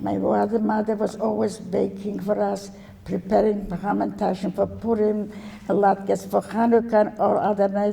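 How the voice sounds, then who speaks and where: Moderately paced speech from a woman, with background noise clearly audible. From Poland, Warsaw. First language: Yiddish. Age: 90s. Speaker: Holocaust survivor. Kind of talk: testimony. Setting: stage with audience. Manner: halting.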